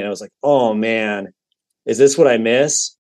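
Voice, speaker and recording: A man speaks at a medium pitch with a General American accent, in a plain, everyday voice. His intonation stays fairly even. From Colorado, Denver area. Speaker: musician and podcast guest. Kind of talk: casual chat.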